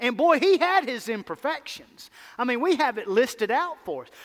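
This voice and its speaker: A man with a Mississippi accent and very wide pitch swings. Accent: Mississippi drawl. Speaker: pastor. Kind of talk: sermon. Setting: church. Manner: animated.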